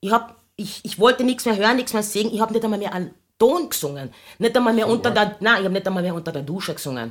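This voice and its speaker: Lively in intonation, a woman speaks at a very fast pace with a fairly high pitch. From Austria, Carinthia. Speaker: singer. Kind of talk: casual chat.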